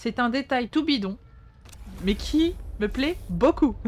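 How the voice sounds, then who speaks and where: A woman's somewhat breathy voice at a very slow pace. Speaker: video game streamer; streamer. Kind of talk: live gameplay commentary. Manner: not always clearly articulated. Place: home room.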